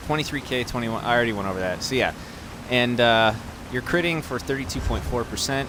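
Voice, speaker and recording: A man of medium pitch with ordinary pitch variation talks at a very fast pace, with noticeable background noise behind him. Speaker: gaming video creator. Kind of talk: game build tutorial. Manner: animated.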